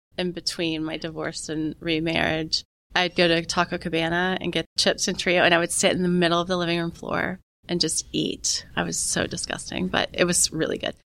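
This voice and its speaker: Vocal fry from a woman at a fairly low pitch, with monotone, flat intonation. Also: moderate pace, very clean recording, silent background. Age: 40s. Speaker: parenting podcast guest, empty nest mom. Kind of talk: casual chat.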